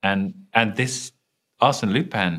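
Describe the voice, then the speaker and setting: Very wide swings in pitch from a man speaking in a British accent. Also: very clean recording, silent background. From London, England. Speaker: TV showrunner and writer. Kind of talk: interview.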